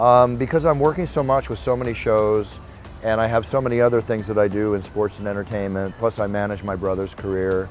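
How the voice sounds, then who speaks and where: Energetic, enthusiastic man with an American accent, fairly low pitch, ordinary pitch variation, and a fairly quick pace over music in the background. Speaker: combat sports ring announcer. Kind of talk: interview answer.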